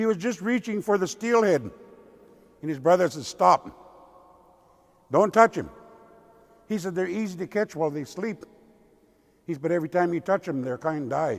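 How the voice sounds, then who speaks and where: At a moderate pace, a man speaks in a high pitch with lively intonation and long, frequent pauses. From Pacific Northwest, Lummi Nation. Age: old. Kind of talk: traditional storytelling. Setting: church with audience.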